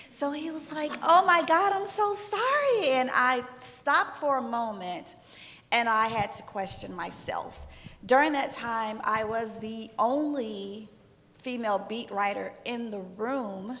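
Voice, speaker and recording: A high-pitched woman speaks at a fairly slow pace, her pitch swinging very widely and her loudness shifting a lot. Audible echo fills the room. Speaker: sports journalist. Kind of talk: panel discussion.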